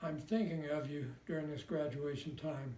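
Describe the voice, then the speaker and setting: A man's fairly high voice at a fairly slow pace, with audible room echo. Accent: Midwestern American. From US Midwest, Indiana. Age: 90s. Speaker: war veteran. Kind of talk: personal letter read aloud.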